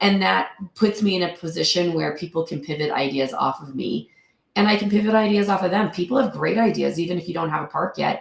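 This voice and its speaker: Her fairly low pitch carries vocal fry as this woman speaks. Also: ordinary pitch variation. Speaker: real estate investor. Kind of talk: interview.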